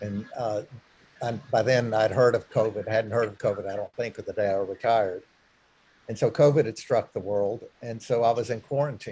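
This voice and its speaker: Speaking at a moderate pace, a man with a medium-pitched, dark, mellow and somewhat breathy voice keeps his intonation fairly even. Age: 60s. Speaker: retired clergyman. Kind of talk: talk to a church group. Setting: church meeting room with zoom. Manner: halting.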